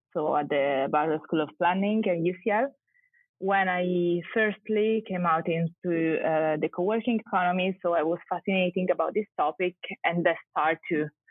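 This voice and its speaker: Speaking at a moderate pace, a woman with an Italian accent has a fairly low pitch. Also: ordinary pitch variation, very even loudness. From Italy. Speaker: architect and urban researcher. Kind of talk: podcast interview. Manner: halting.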